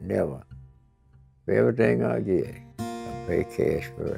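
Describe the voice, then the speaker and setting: Music plays behind a man speaking with an American accent. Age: 80s+. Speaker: war veteran. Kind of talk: interview answer.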